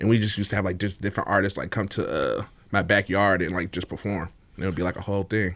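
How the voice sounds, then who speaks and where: A man talks very fast with an American accent, his pitch fairly low. His intonation stays monotone and flat. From East Oakland, California. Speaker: podcast guest, party scene figure. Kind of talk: casual interview chat. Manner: laid-back, casual.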